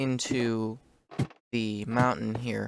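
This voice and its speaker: Very slowly, a man speaks at a medium pitch. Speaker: gaming youtuber. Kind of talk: gameplay commentary. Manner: hesitant, many fillers.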